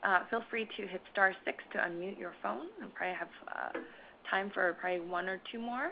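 At a moderate pace, a woman speaks at a medium pitch in an unremarkable speaking voice. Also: ordinary pitch variation. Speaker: webinar moderator. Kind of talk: webinar moderation. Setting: conference call webinar.

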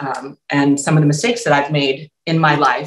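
A woman with an American accent speaks at a very deep, low pitch. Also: quiet background. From United States. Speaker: opera singer. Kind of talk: panel discussion. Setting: video call. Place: home room. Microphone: webcam.

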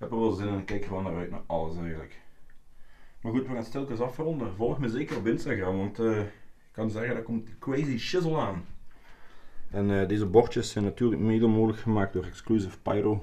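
The man's voice is fairly low, with a dark, mellow tone. He speaks at a fairly quick pace. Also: ordinary pitch variation. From Belgium. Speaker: fireworks YouTuber. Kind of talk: casual vlog, showing his collection. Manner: animated. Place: home room. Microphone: phone near.

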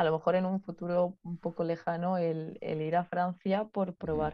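The background is quiet as a woman speaks at a fairly slow pace. Her pitch is fairly low. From Spain, Ciudad Real; Spain. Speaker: physiotherapist. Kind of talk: interview conversation. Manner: laughs often. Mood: relaxed, smiling. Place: home room. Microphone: video call.

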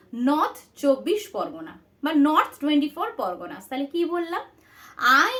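This woman speaks in a high pitch. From West Bengal, Paschim Medinipur. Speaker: online tutor. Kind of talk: tutorial.

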